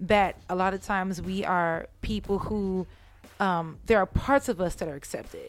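Speaking at a moderate pace with fairly even intonation and an American accent, a woman has a plain, everyday voice at medium pitch. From San Jose, California (Bay Area). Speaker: musician. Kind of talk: casual chat.

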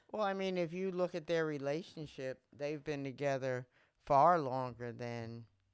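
A woman's very deep, low voice with ordinary pitch variation. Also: moderate pace. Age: 60s. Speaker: podcast co-host, mother of the other host. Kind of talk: casual chat.

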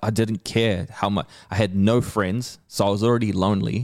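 A man speaks with a New Zealand accent at a moderate pace. His pitch sits fairly low. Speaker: hip-hop artist and comedian. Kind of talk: casual chat. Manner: animated.

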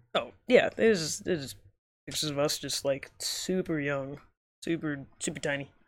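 A man speaks in an unremarkable speaking voice with ordinary pitch variation. The recording is very clean, with a silent background. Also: fairly high pitch for a man, fairly slow pace. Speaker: podcast host. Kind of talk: casual chat. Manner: casual, rambling.

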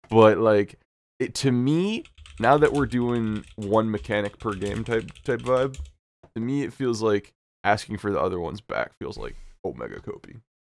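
A man's medium-pitched voice moves at a moderate speed, its pitch varying in an ordinary way. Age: 20s. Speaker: podcast co-host, content creator. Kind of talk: casual chat. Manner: animated.

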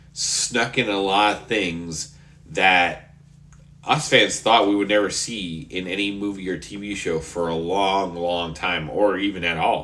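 A man speaks with a very deep, low pitch and a bright, sharp tone. Audible room echo surrounds his voice. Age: 30s. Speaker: podcast host. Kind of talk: casual solo monologue. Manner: animated.

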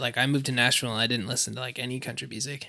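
Speaking with a northern New York accent, a man has a bright, sharp tone. His intonation is fairly even. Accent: northern New York American. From northeastern upstate New York, near Quebec border. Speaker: songwriter. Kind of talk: casual chat.

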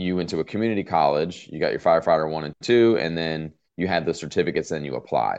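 A man with a very deep, low pitch and vocal fry talks at a very fast pace against a quiet background. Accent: American. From Southern California. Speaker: fire captain. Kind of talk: interview.

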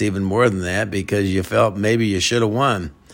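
Fairly quick speech from a man, fairly low in pitch, with ordinary pitch variation. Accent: Midwestern US. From Iowa. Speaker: high school football coach. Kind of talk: interview. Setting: at his home. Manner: halting, many repetitions and fillers.

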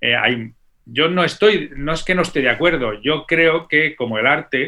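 At a fairly slow pace, a man speaks with a fairly high pitch, a bright, sharp tone and ordinary pitch variation. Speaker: orchestral percussionist. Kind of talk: interview conversation. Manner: animated.

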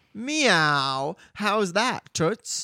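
On a very clean recording with a silent background, a put-on character voice sits fairly high in pitch and makes very wide pitch swings. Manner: casual, playful, slightly sassy.

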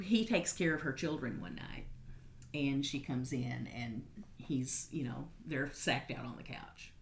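Pausing long and often, a woman with a Kentucky accent speaks at a fairly slow pace with lively intonation. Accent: Southern US, Kentucky. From Western Kentucky. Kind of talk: interview, casual conversation.

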